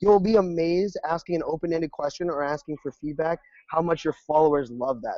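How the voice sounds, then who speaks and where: With a high pitch for a man and a dark, mellow tone, he talks very fast in a dry, close sound with no echo. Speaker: social media consultant. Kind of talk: webinar interview. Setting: call. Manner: animated.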